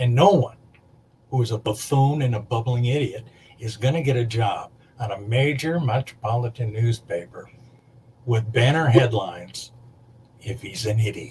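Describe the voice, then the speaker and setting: A man with a medium pitch and a somewhat breathy voice talks at a moderate pace. His pitch varies in an ordinary way, and he pauses long and often. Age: 60s. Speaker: makeup artist. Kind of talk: casual chat. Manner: halting.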